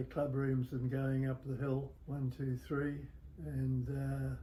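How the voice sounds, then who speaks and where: A man speaks at a very slow pace in a medium pitch, with a dark, mellow tone and a somewhat breathy quality. His intonation stays flat and monotone throughout. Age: 80s+. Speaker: former tennis club member. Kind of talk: interview answer. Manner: slow, hesitant.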